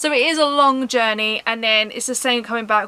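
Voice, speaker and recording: Over noticeable background noise, a woman talks at a fairly quick pace. She speaks with a southern English accent. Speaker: vlogger. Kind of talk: casual vlog talk. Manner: fast.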